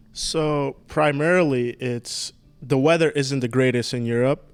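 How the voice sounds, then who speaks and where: A man speaks with a Slovak accent. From Slovakia. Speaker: professional golfer. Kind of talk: casual interview.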